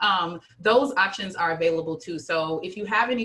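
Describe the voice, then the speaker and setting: Noticeable background noise runs under this recording. The woman speaks at a fairly low pitch with ordinary pitch variation. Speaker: nonprofit director and luncheon co-host. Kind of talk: online meeting announcements. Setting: video call. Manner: fast.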